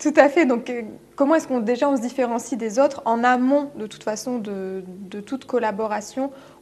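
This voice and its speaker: Speaking at a moderate pace, a woman has a plain, everyday voice at a fairly high pitch. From France. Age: 30s. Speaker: business coach. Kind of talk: interview. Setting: studio.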